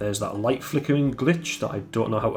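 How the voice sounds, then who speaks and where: A man speaks with music playing in the background. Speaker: solo game developer. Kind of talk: casual devlog talk. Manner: monotone.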